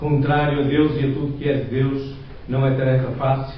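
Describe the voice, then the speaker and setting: A man's fairly high voice with a European Portuguese accent, flat monotone intonation, audible room echo and noticeable background noise. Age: 60s. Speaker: lay preacher. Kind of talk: sermon. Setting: church.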